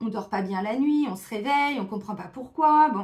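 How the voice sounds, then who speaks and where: Moderately paced female speech, high in pitch, with ordinary pitch variation. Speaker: tarot card reader. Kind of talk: tarot guidance monologue. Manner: casual, with many fillers.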